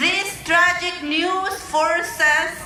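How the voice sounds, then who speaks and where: A woman uses a raised, projected voice with audible room echo around her. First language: Mazahua. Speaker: immigrant rights organizer. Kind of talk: rally speech.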